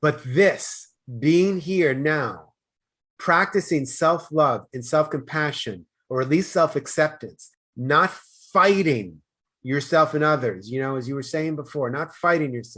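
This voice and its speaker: A loud man with an American accent, bright and sharp in tone, at a fairly slow pace with ordinary pitch variation, in a very clean recording with a silent background. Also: fairly high pitch for a man. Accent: Boston, comes out occasionally. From US Northeast, Boston. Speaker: life coach. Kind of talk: podcast interview.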